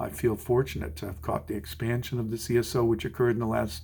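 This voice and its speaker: This man talks at a fairly quick pace in a medium pitch, sounding somewhat breathy. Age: 60s. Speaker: orchestral musician. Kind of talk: advice monologue.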